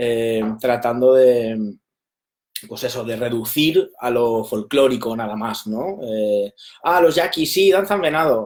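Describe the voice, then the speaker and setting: A man at medium pitch, very slow pace and lively intonation. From Spain, Valencia. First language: Valencian (Catalan) (speaking Spanish). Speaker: documentary film director. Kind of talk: interview. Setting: live stream.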